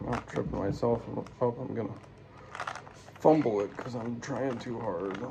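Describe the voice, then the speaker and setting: Mumbling at a moderate pace with long, frequent pauses, a man speaks at a medium pitch with ordinary pitch variation over noticeable background noise. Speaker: amateur YouTuber. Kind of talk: casual solo vlog while solving a puzzle. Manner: slurred, runs words together.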